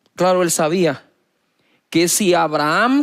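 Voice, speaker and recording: In a very clean recording with a silent background, a man with a high pitch speaks at a fairly slow pace. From Guatemala. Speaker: pastor, televangelist. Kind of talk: sermon.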